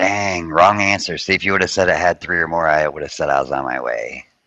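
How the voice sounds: A man's very deep, low voice in a calm, soothing tone, a fairly quick pace and ordinary pitch variation, with noticeable background noise.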